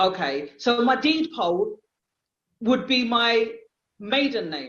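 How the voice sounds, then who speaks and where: A woman with a London accent speaks at a very slow pace and a fairly high pitch. Her voice has vocal fry and very wide pitch swings. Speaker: caller. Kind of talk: casual Q&A. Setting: video call.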